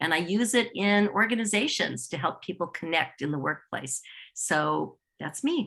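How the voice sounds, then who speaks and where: Speaking at a moderate pace, a woman has a fairly low pitch, lively intonation, vocal fry, and a bright, sharp tone. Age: 60s. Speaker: improv teacher and co-facilitator. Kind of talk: online show hosting. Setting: video call.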